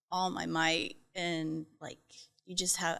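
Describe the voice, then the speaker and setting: A woman with a slight Southern US accent speaks at a fairly low pitch. Her tone is bright and sharp, with ordinary pitch variation. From US South, North Carolina. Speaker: trauma survivor sharing her story. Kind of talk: testimony in podcast interview. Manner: hesitant, many fillers.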